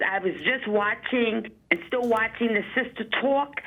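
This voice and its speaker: Speaking at a fairly slow pace, a woman with a fairly high pitch is heard over noticeable background noise. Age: 60s. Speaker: caller, retired city worker. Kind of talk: call-in comment. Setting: phone call.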